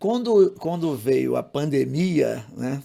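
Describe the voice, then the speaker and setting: A man speaks at a fairly high pitch, swinging very widely up and down. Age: 60s. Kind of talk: podcast interview. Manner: halting, repeats words.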